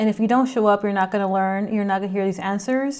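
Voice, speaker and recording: A medium-pitched woman with an American accent on a very clean recording with a silent background. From Rio Grande Valley, South Texas (McAllen). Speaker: community organizer. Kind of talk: personal monologue interview. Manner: occasional hesitations.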